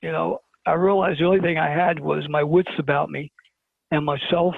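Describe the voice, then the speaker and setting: With a New York accent, a man speaks at a moderate pace and a fairly high pitch, keeping his intonation fairly even. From Brooklyn, New York. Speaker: interview guest. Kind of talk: storytelling in an interview.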